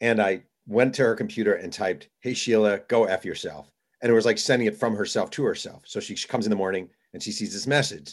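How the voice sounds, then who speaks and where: A man talks at a very fast pace and a medium pitch. The recording is very clean, with a silent background. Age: 40s. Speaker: sports author and journalist. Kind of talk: interview. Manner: animated storytelling.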